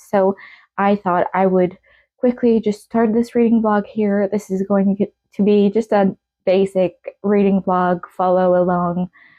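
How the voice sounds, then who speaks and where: A woman's medium-pitched voice in a French Canadian accent, fairly slow and fairly even in intonation. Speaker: book vlogger. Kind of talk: casual vlog talk.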